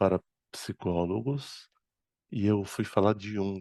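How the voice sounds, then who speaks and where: Very slowly and with fairly even intonation, a man with an Arabic accent talks in a fairly low, dark, mellow voice, the sound dry and close with no echo and the background quiet. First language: Arabic (speaking Portuguese). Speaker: spiritist speaker and medium. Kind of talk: lecture.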